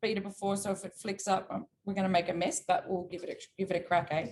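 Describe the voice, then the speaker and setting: In an Australian accent, a somewhat breathy woman talks at a fairly quick pace. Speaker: cooking teacher. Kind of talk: cooking class. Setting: video call.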